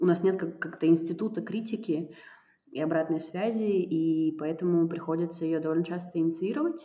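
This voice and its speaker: Fairly even intonation from a woman with a fairly low voice. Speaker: cultural producer and foundation director. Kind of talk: casual interview conversation. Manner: hesitant, many fillers.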